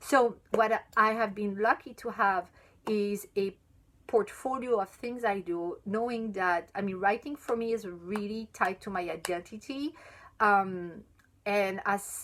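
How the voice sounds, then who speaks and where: Speaking very slowly with a French accent, a woman has a medium pitch and ordinary pitch variation in a very clean recording with a silent background. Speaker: chocolate sommelier and writer. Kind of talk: live stream Q&A. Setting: live video stream. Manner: halting, many fillers and restarts.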